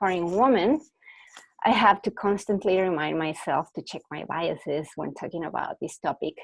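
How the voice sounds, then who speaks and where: A woman speaks with a Mexican accent. Her intonation is lively. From Mexico. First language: Spanish. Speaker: researcher. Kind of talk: webinar presentation. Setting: online webinar. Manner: hesitant, with fillers.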